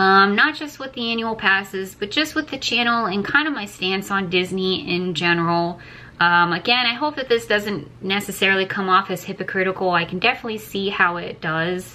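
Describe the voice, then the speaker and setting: Her tone bright and sharp, a woman talks at a fairly quick pace with lively intonation and hardly any pauses. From Florida, moved from Canada at age two. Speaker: travel vlogger. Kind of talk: casual chat. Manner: casual with many fillers. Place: home room. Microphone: phone near.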